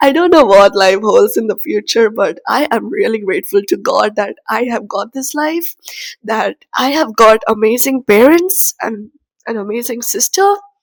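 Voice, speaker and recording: Her voice high in pitch with very wide swings, a woman speaks at a moderate pace in a dry, close sound with no echo. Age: 20s. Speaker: vlogger. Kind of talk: personal reflection to camera. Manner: halting.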